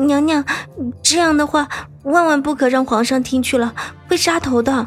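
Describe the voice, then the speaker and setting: Clear music plays in the background of this put-on character voice. It sounds shaky, with fairly even intonation at a moderate pace. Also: woman, high pitch for a woman. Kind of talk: formal, courtly. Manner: trembling, fearful.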